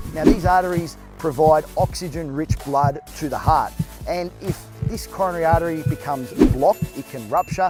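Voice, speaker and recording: Over music in the background, a man with a fairly high voice talks at a moderate pace with ordinary pitch variation. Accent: Australian. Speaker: fitness trainer. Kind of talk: health explainer.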